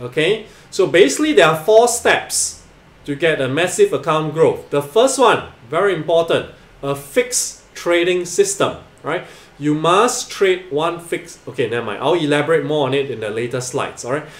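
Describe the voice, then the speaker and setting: Audible room echo around a man speaking at a moderate pace. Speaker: trading educator. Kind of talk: tutorial.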